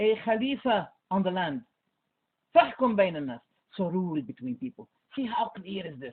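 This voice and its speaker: This man's voice is high in pitch and moves at a moderate pace. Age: 60s. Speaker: Islamic scholar. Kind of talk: heated debate. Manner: animated.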